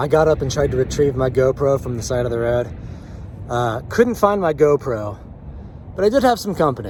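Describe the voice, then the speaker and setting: Amid noticeable background noise, a man of medium pitch speaks at a fairly quick pace with lively intonation and long, frequent pauses. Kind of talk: casual vlog talk to camera. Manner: unscripted, casual.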